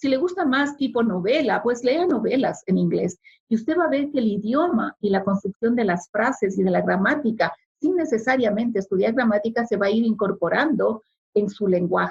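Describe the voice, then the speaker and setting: A woman's fairly high, somewhat breathy voice with a Spanish accent and very even loudness. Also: lively intonation, moderate pace. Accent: noticeable Spanish accent in English. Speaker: immigrant sharing experience. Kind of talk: interview. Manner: formal.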